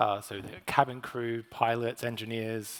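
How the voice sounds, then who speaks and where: At a fairly slow pace, a man with an Australian accent talks in a medium pitch with monotone, flat intonation. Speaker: corporate communications manager. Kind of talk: panel discussion. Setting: stage with audience.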